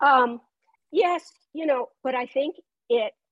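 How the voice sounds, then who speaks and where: A woman at a moderate pace. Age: 70s. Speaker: author. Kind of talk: interview. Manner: blunt.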